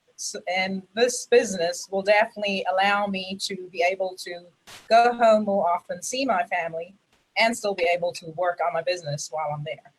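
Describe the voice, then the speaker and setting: A woman with an American accent speaks at a medium pitch, somewhat breathy, with ordinary pitch variation and big swings in loudness. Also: moderate pace. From South Africa. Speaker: network marketing member. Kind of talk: testimony. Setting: video call livestream.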